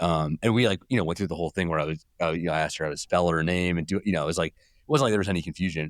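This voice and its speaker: On a very clean recording with a silent background and a dry, close sound with no echo, a man with a Californian accent speaks very fast at a very deep, low pitch with fairly even intonation. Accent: California. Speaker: journalist. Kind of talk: podcast interview. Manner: halting, many fillers and repeats.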